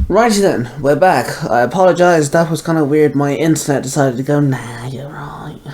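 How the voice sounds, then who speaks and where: Speaking with an English accent, a man uses a fairly high pitch, ordinary pitch variation and a moderate pace with hardly any pauses. Noticeable background noise runs underneath. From England. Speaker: reaction youtuber. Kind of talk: casual commentary.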